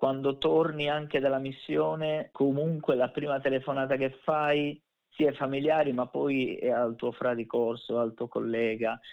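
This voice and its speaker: A man speaks at a fairly slow pace in a medium pitch. His intonation stays fairly even in an unremarkable speaking voice. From Sardinia, province of Nuoro. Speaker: navy veteran and competitive skydiver. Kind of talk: interview.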